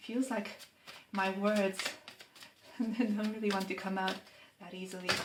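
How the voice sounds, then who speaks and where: Noticeable background noise and audible room echo surround a woman with a non-native accent who speaks at medium pitch and a fairly slow pace. Her intonation is fairly even, her loudness swings widely, and her pauses are long and frequent. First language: not English. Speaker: tarot reader. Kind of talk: tarot reading monologue. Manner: unhurried, pausing to find words.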